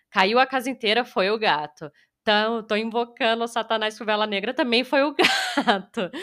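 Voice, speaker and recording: A woman with an ordinary speaking voice talks at a moderate pace and a fairly high pitch. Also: lively intonation. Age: 20s. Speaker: horror game streamer. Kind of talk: interview.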